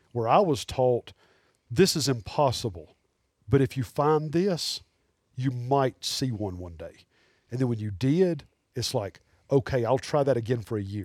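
In a very clean recording with a silent background, a man with an Alabama accent speaks at a medium pitch with lively intonation, leaving long, frequent pauses. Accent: Southern US (Alabama). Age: 40s. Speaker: taxidermist and hunter. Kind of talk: casual chat.

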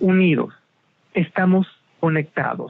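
Fairly slowly, a man talks with a high pitch. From Mexico. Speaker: television critic. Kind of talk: interview. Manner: animated.

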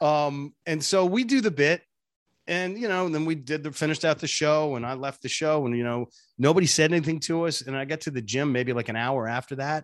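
Against a quiet background, a man with a normal speaking voice and fairly high pitch talks at a fairly quick pace with lively intonation. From US Northeast, Boston. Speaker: radio personality and voice impressionist. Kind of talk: casual interview chat.

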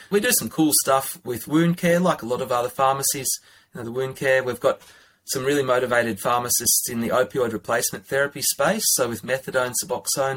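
A man with an Australian accent at medium pitch, with ordinary pitch variation and a fairly quick pace. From Australia, northern New South Wales. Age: 30s. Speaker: pharmacist. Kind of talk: interview.

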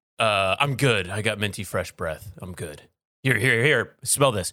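A man's raspy put-on character voice, fairly low in pitch, at a moderate pace. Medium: actual play. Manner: casual, slangy.

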